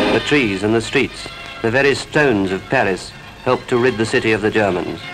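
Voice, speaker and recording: A man at a medium pitch with ordinary pitch variation, fairly quick, music in the background. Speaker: newsreel narrator. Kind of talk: wartime newsreel narration.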